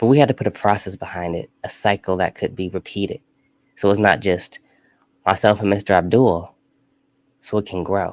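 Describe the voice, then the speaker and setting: Fairly low in pitch and animated in tone, a man talks at a fairly quick pace in a dry, close sound with no echo on a very clean recording with a silent background. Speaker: live stream show host. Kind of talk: live studio talk show monologue. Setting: studio.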